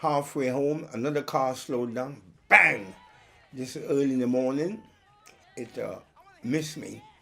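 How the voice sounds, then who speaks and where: Noticeable background noise sits behind a man speaking at a medium pitch. He talks at a fairly slow pace with ordinary pitch variation. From Trinidad and Tobago, then South London. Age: 70s. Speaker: soul singer. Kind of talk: interview testimony.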